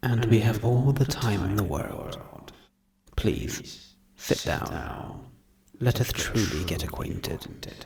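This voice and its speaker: A man puts on a growling character voice at medium pitch. He speaks very slowly, and the voice sounds strained. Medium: read story. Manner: calm, calculated, restrained aggression.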